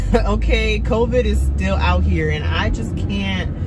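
Over loud background noise, a woman talks at a fairly slow pace. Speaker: vlogger. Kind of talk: casual vlog chat. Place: car.

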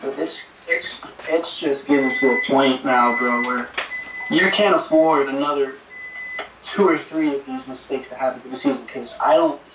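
At a moderate pace, a man speaks while noticeable background noise runs underneath. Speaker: co-host, fan on video call. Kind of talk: angry rant, heated fan reaction. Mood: frustrated, ranting. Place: home room. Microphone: camera far.

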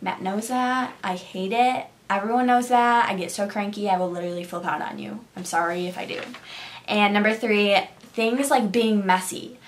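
A woman speaks at a moderate pace in an animated tone, her pitch varying in an ordinary way while her loudness swings widely. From Syracuse, New York; New York. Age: 20s. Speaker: beauty YouTuber; beauty vlogger. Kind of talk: casual vlog monologue. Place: home room. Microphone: phone near.

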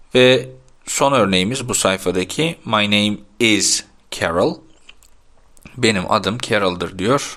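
In a plain, everyday voice, a man speaks fairly low and fairly slowly with lively intonation. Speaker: English teacher. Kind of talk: tutorial.

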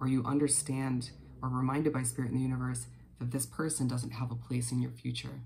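A somewhat breathy man's voice with a dark, mellow tone over light background noise. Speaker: tarot reader. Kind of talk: casual reading to viewers. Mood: calm, reassuring. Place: home room. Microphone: earbuds.

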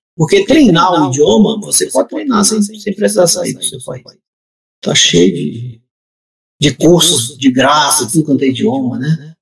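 Fairly high male voice with vocal fry and very wide pitch swings, over a quiet background. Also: fairly quick pace. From southern Pará, Brazil. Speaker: writer; guest. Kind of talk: casual chat. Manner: halting, many repetitions. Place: home room.

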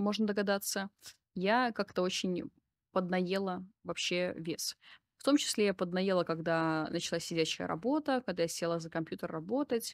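A woman speaks at a moderate pace with ordinary pitch variation and big swings in loudness, leaving long, frequent pauses. The sound is dry with no echo, against a quiet background. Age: 30s. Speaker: psychotherapist and video blogger; video blogger. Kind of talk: personal monologue to camera. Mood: calm, reflective, personal. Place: home room. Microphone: studio mic.

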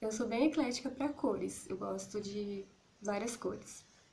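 Light background noise sits behind this woman's voice. She speaks with a Brazilian accent, lively intonation and a fairly slow pace. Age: 30s. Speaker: YouTuber. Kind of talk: casual vlog monologue. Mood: relaxed, a bit shy, smiling. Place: home room. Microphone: phone near.

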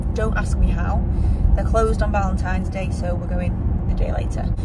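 A woman talks at a very fast pace. Loud noise fills the background. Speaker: vlogger. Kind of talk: casual vlog chat. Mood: cheerful, laughing at times. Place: car. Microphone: phone near.

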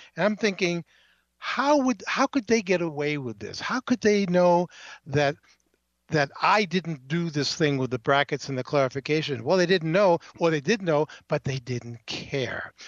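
Against a quiet background, a man uses a normal speaking voice at a fairly high pitch with lively intonation, the sound dry and close with no echo. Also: moderate pace. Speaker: journalist. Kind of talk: casual phone chat. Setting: phone call.

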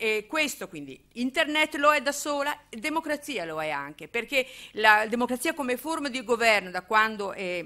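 Very wide pitch swings and a bright, sharp tone stand out over a quiet background. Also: woman, high pitch for a woman, moderate pace, big swings in loudness. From Emilia-Romagna, Italy. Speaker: political theory professor. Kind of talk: public lecture. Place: hall. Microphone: podium.

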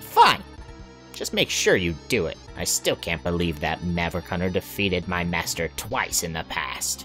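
With music in the background, someone performs a put-on character voice at a moderate pace. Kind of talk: reading game dialogue in character voices.

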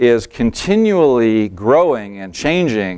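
With little sound behind him, a man talks at a very slow pace. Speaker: presenter. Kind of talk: presentation talk. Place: hall. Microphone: lapel.

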